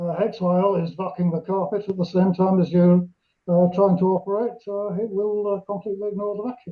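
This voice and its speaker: Here a man talks at a high pitch with a British accent. His intonation is monotone and flat, and his pace is fairly quick. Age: 70s. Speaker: amateur radio club member. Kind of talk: question from audience.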